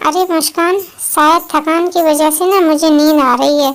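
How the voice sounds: A cartoonish character voice moves at a moderate pace, with fairly even intonation and very even loudness. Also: woman, extremely high pitch for a woman.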